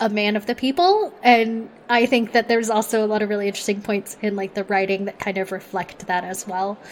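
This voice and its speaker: In a normal speaking voice, a woman with an American accent talks fairly quickly and at a fairly high pitch, with fairly even intonation and hardly any pauses. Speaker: executive producer. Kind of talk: casual chat.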